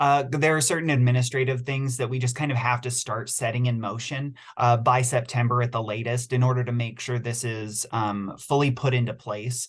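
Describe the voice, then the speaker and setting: The voice is somewhat breathy, with monotone, flat intonation. It moves at a fairly quick pace with hardly any pauses. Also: man, medium pitch for a man. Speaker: city utility staff presenter. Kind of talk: virtual public meeting Q&A. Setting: video call. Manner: fast.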